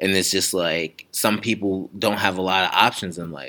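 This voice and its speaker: A bright, sharp tone comes through with an American accent at a moderate pace. Pitch variation is ordinary, and the recording is very clean with a silent background. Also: man. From Delaware, US. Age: 20s. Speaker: education program officer. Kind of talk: interview.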